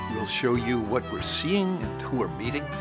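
A man speaks with an American accent. Music plays behind him. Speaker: narrator. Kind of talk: travel series trailer narration.

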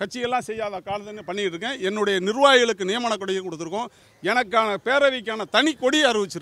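This man's raised, projected voice sits high in pitch, with a bright, sharp tone and ordinary pitch variation. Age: 60s. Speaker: party supporter. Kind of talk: interview.

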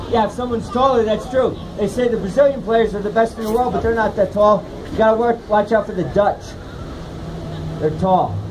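Noticeable background noise runs through the clip. A man speaks at a fairly quick pace. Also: fairly even intonation. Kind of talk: comedic performance patter. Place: street. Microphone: camera far.

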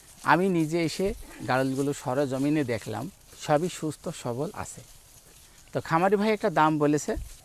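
An ordinary speaking voice, with ordinary variation in pitch. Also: man, fairly high pitch for a man. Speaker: farm video host. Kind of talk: on-location farm interview.

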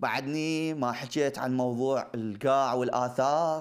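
Against a quiet background, a man with an Iraqi accent talks in an animated tone with ordinary pitch variation. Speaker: TV host. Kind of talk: TV monologue with studio audience. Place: studio. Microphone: lapel.

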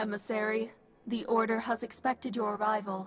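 A robotic, put-on character voice runs at a fairly quick pace, fairly high in pitch with monotone, flat intonation.

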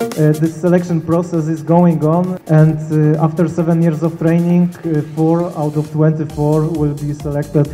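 A man's flat, monotone delivery at a fairly slow pace, faint music behind him. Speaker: guest. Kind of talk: lecture. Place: cafe. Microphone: handheld.

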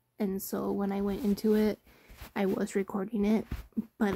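A woman mumbles in a dark, mellow tone that is somewhat breathy. The sound is dry with no echo, against a quiet background. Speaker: game player narrating. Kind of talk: casual talk to camera. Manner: mumbling. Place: home room. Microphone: phone near.

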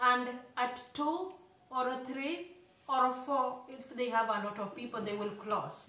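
A woman with a high pitch and ordinary pitch variation projects a raised voice at a very slow pace amid audible room echo. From Kenya, rural village. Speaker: YouTuber, couple vlogger. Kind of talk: casual chat. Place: home room. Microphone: phone near.

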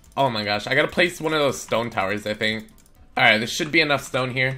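Music plays in the background as a man speaks. His pace is fairly quick and his pitch variation ordinary. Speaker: gaming YouTuber. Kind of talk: gameplay commentary. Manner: casual.

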